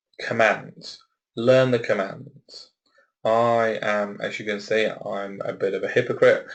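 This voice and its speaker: A man with a Leicester accent talks at a very slow pace. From Leicester, England. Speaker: webinar presenter on assistive technology. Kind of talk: webinar presentation. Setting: office on his own.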